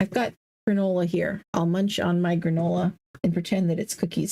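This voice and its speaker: Here is a woman with a plain, everyday voice. She is medium in pitch and talks at a fairly quick pace. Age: 40s. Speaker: gaming streamer. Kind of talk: casual live-stream chat while gaming.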